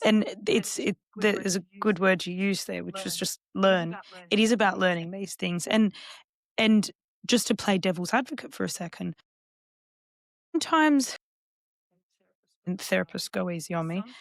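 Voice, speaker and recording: Pausing long and often, a woman with an Australian accent speaks at a moderate pace and medium pitch with ordinary pitch variation, her sound dry and close with no echo in a very clean recording with a silent background. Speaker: counsellor and psychotherapist. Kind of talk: podcast interview.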